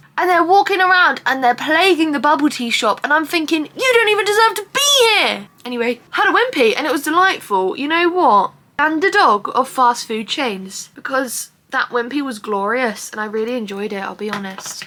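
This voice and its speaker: Over noticeable background noise, a woman with an English accent uses a raised, projected, high-pitched voice with very wide pitch swings, a moderate pace, and hardly any pauses. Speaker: vlogger. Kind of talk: casual vlog talk. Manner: animated.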